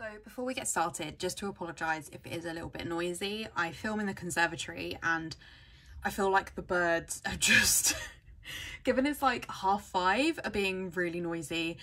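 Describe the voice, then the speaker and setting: Her pace is moderate, with ordinary pitch variation. This woman's loudness swings widely. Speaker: planner sticker vlogger. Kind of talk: casual vlog chat. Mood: cheerful, laughs often. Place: home room.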